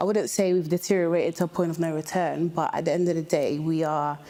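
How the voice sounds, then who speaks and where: Talking at a very fast pace, a woman with a British accent uses a fairly low pitch, a dark, mellow tone and fairly even intonation. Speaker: reality show participant. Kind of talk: counselling session.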